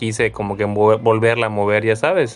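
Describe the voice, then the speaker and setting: Talking at a fairly quick pace, a man with a plain, everyday voice has a fairly low pitch. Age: 30s. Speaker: podcast host. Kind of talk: casual chat.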